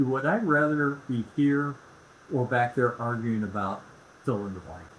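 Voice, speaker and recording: A man with a Midwestern US accent speaks at a medium pitch. His loudness swings widely. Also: ordinary pitch variation, fairly slow pace. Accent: US Midwest. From Indianapolis, Indiana. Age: 70s. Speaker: real estate expert. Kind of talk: casual chat.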